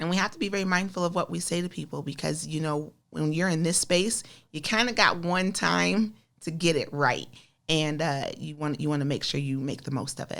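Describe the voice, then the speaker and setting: Speaking with an American accent, a woman uses a very deep, low pitch that varies an ordinary amount. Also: fairly quick pace. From US Midwest, Des Moines, Iowa. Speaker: community activist and school board member. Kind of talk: interview. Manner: gets louder and stronger when passionate.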